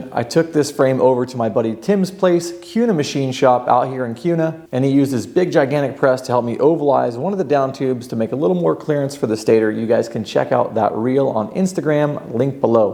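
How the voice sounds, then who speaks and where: With noticeable background noise behind him, a man talks at a fairly quick pace with hardly any pauses, his medium-pitched voice energetic and his intonation lively. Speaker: dirt bike builder and video host. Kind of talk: workshop tutorial. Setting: enclosed workshop. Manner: casual, energetic.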